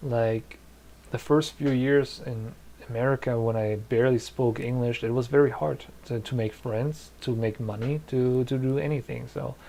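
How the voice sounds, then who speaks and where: Speaking at a moderate pace, a man has a dark, mellow tone, a medium pitch and fairly even intonation. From Germany, Polish-speaking family. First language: Polish. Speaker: YouTuber, visual effects creator; streamer giving advice. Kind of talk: live stream chat Q&A. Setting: live stream from home. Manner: hesitant, many fillers. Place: home room.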